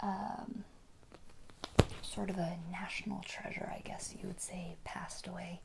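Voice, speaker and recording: A woman speaks softly at a fairly slow pace, gentle and calm in tone with fairly even intonation. Background noise is noticeable. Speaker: ASMR video creator. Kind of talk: casual talk to camera. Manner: soft-spoken, gentle, calm.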